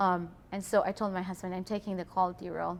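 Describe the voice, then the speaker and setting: A woman speaks with a non-native accent. Her pitch is medium and her pace fairly quick. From Philippines. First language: not English. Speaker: employee, quality lead. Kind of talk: interview. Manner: hesitant.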